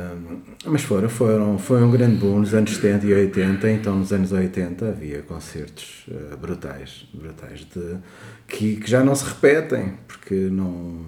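A man speaks at a very slow pace in a fairly low pitch with a dark, mellow tone. Audible echo from the room surrounds his voice. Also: lively intonation, big swings in loudness. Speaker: podcast co-host. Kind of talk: casual chat.

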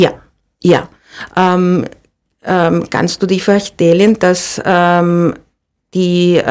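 A woman speaks at a very slow pace with a Spanish accent. Her pitch sits in the medium range. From Andalusia, Spain (Seville). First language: Spanish (speaking German). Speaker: olive oil producer. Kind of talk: interview. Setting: studio. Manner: halting, many repetitions and fillers.

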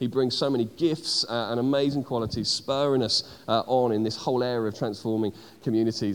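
This man has a plain, everyday voice, pitched in the medium range, and speaks at a moderate pace with fairly even intonation. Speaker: church leader introducing speaker. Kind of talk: announcement and introduction.

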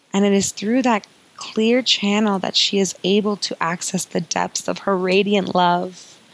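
Over noticeable background noise, a woman with a medium pitch speaks at a very slow pace with fairly even intonation. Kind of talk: guided meditation. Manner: soft, slow and soothing, with gentle sighs and pauses, inviting and warm.

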